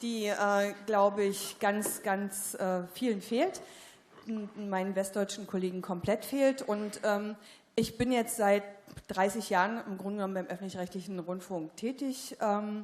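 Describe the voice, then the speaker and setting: A woman's medium-pitched voice with a Berlin accent and fairly even intonation. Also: fairly slow pace. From East Berlin. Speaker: journalist, audience member. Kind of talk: audience question at panel discussion. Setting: theatre stage with audience. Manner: hesitant, many fillers.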